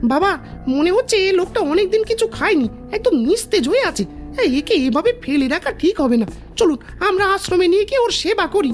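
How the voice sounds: In a cartoonish character voice, a woman talks at a moderate pace while music plays clearly in the background.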